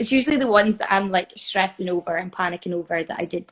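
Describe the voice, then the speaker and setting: With a Scottish accent, a woman at medium pitch speaks at a very fast pace. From North East Scotland. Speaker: musical theatre performer. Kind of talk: interview answer. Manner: casual.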